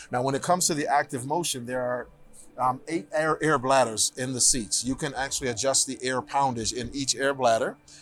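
A man with an ordinary speaking voice talks at a fairly quick pace and medium pitch, his intonation fairly even. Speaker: car brand product specialist. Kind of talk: guided product tour interview. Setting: auto show floor.

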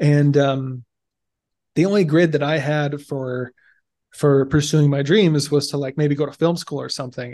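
An American-accented man speaks at a moderate pace with a fairly high pitch and monotone, flat intonation. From Alabama, US South (small rural town). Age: young. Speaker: Marine Corps veteran and software engineer. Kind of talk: interview.

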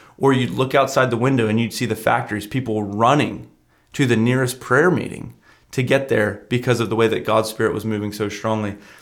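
A man talks fairly quickly at a medium pitch, with fairly even intonation. It is an unremarkable speaking voice. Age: 20s. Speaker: youth pastor. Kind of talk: casual chat. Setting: studio.

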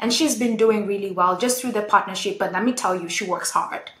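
The speaker is a woman. Behind her, the background noise is noticeable. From Kenya. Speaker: retail consultant. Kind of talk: interview.

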